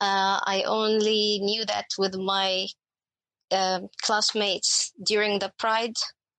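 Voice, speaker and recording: A woman with an Arabic accent speaks at a medium pitch in a monotone, flat intonation. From Egypt. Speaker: HR professional. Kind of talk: casual chat.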